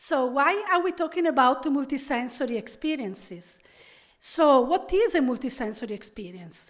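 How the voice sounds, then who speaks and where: Delivered at a moderate pace, the speech has lively intonation and an Italian accent. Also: woman. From Italy, Venice. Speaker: professor. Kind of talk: keynote lecture. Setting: conference stage with audience.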